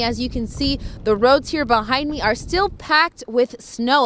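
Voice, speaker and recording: A woman talks at a moderate pace with an American accent. Noticeable background noise runs behind her. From Los Angeles. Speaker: television news reporter. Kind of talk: TV news report.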